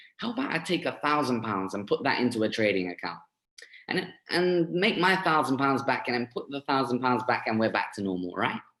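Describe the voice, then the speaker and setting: A man with a London accent speaks at a medium pitch and a moderate pace. His pitch swings very widely. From east London, England. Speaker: forex trader sharing success story. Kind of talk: testimony. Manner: halting, many fillers.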